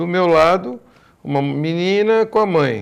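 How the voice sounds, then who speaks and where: A man in a plain, everyday voice, fairly high in pitch with lively intonation. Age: 60s. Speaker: business association leader. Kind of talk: TV panel debate.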